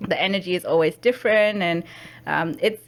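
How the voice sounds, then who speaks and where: A woman's voice with a non-native accent, medium in pitch, with ordinary pitch variation and a fairly quick pace. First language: not English. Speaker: podcast host. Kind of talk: podcast interview. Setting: studio.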